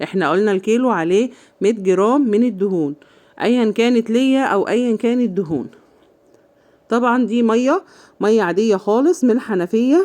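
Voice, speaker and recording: Her tone dark and mellow, a woman talks at a fairly high pitch and a moderate pace, with lively intonation and very even loudness. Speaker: home cooking channel host. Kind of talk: cooking tutorial. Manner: casual, chatty.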